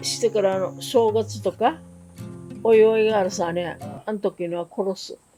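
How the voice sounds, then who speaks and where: Over music in the background, a woman speaks at a fairly slow pace in a medium pitch. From Okinawa, Japan. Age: 80s+. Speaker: war survivor. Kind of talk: interview answer.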